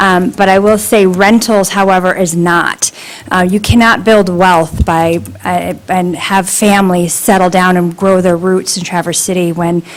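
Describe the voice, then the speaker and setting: A woman with an American accent speaks at a medium pitch and moderate pace, with fairly even intonation, against noticeable background noise. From northern Michigan. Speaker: public commenter at township meeting. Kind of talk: public comment. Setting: public meeting room.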